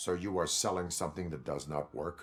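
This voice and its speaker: Using a put-on character voice, a man talks at a fairly quick pace with a very deep, low pitch. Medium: video game. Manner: terse, flat.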